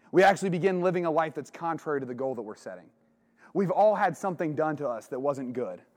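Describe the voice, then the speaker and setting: Speaking with an American accent, a man has a fairly high pitch and lively intonation. The background is quiet. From southern Ohio, small town. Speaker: retreat speaker. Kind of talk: religious talk to young men. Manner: casual, conversational.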